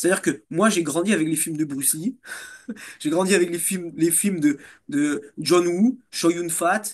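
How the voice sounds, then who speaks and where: A man with a southern French accent and a high pitch speaks at a fairly slow pace with ordinary pitch variation, over a quiet background. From southern France, Nîmes. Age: 40s. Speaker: fitness coach and entrepreneur. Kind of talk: interview. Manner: halting, many fillers and repetitions.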